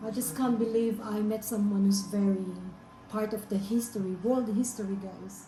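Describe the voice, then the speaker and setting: A woman's fairly high, monotone, flat voice at a moderate pace, with audible room echo and noticeable background noise. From Philippines. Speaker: vlogger. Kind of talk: casual interview.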